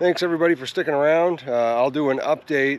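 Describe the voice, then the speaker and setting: A man speaks in a dry sound with no echo. His pitch varies in an ordinary way. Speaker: property owner vlogger. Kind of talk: casual vlog chat. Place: open country. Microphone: phone near.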